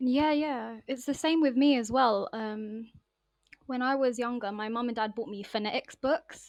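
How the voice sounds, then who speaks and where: Over a quiet background, a woman speaks in a high pitch. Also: ordinary pitch variation, moderate pace. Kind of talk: casual chat. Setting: podcast recording.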